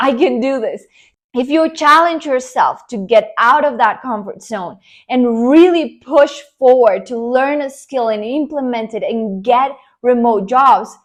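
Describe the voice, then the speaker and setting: Over a quiet background, a woman with a Spanish accent speaks in an animated tone at a high pitch and a fairly slow pace, with ordinary pitch variation. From Colombia. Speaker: online business coach. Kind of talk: motivational talk to camera.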